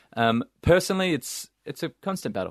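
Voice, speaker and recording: In an Australian accent, the voice comes across dry and close with no echo against a quiet background. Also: man. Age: 30s. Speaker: charity founder. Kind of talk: casual interview.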